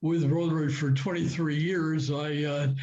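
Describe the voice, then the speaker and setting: A man's fairly high yet dark, mellow voice, with audible room echo. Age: 80s+. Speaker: club member attendee. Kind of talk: audience comment. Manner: halting.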